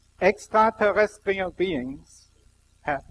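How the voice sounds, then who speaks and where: A man speaks very slowly with a strong German accent. The sound is dry and close, with no echo. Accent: heavy German. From Germany. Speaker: scientist giving a spiritual talk. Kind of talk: public lecture.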